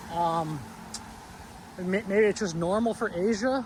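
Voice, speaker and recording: A man speaks loudly at a high pitch. His pitch variation is ordinary. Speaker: travel vlogger. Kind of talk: casual vlog walkthrough. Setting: walking outdoors at night, then inside a cafe. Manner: hesitant, fillers and repetitions.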